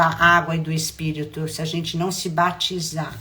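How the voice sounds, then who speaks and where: A woman with a fairly low pitch speaks at a fairly slow pace, with noticeable background noise and audible room echo. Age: 70s. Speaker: spiritual mentor. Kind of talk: spiritual talk.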